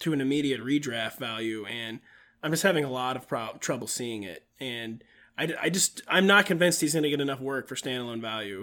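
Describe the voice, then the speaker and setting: On a very clean recording with a silent background, a man talks at a fairly quick pace in a fairly high pitch, with ordinary pitch variation and an ordinary speaking voice. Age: 30s. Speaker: fantasy football analyst. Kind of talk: casual chat.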